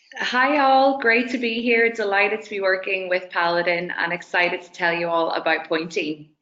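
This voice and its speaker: A woman's medium-pitched voice with an Irish accent, ordinary pitch variation, a moderate pace, hardly any pauses and big swings in loudness. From Dublin, Ireland. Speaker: tech company representative. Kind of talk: webinar presentation.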